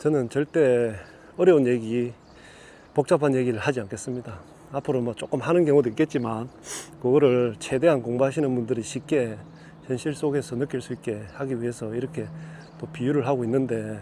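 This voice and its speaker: A man speaks at a fairly quick pace with long, frequent pauses, his medium pitch showing ordinary variation. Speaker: Buddhist spiritual teacher. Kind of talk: dharma talk. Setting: outdoors.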